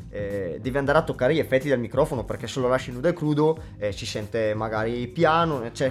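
A man talks at a very fast pace with a medium pitch. His pitch varies in an ordinary way, and there is noticeable background noise. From northern Italy, Brescia province. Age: 20s. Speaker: beatboxer. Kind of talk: casual interview. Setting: studio.

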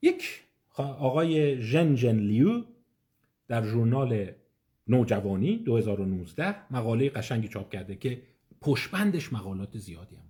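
Speaking very slowly, a man with a dark, mellow, somewhat breathy tone uses lively intonation and big swings in loudness. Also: medium pitch for a man. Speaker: psychiatrist giving an online lecture. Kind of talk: lecture. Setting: online live session. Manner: conversational.

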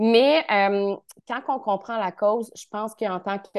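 A woman with a Quebec accent, fairly high in pitch, at a very slow pace, against a quiet background. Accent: Québécois French. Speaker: naturotherapist. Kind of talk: expert interview. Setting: video call.

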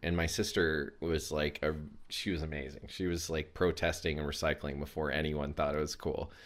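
A man speaks with a very deep, low pitch and an American accent. His pace is moderate and his intonation is monotone and flat. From US South, Chattanooga, Tennessee. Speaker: men's self-care coach. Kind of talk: casual interview chat. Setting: video call.

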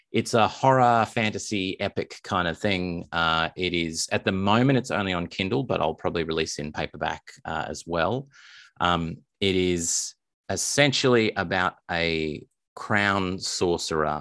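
A man with an Australian accent talks at a moderate pace, his pitch very deep and low with ordinary variation. The sound is dry and close with no echo, on a very clean recording with a silent background. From Australia, Melbourne. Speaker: indie author. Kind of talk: interview.

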